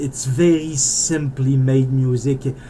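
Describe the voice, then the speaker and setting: A man speaks with a Canadian French accent. His medium pitch carries a fairly even intonation. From French Canada (Quebec). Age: 40s. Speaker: indie game developer. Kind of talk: casual monologue while playing. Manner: rambling, hesitant with repetitions.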